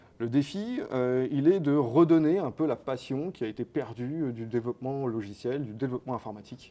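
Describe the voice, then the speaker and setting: Moderate-paced speech from a man at medium pitch, ordinary pitch variation and hardly any pauses. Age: 30s. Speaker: company co-founder. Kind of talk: interview. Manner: hesitant, many fillers.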